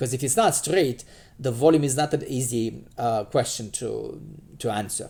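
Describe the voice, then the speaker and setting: A man with a Romanian accent speaks with vocal fry. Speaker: math teacher. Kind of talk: lecture. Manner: halting, many fillers.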